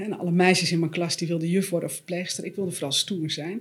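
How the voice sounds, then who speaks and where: A woman talks at a very fast pace with a fairly low pitch. Her voice is somewhat breathy and her intonation fairly even. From Netherlands, West-Friesland. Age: 40s. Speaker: author and systemic coach. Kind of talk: podcast interview.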